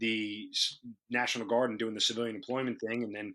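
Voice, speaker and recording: A very fast male speaker in a New York accent, bright and sharp in tone, with a quiet background. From New York, Long Island. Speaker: radio host and army officer. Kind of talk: interview.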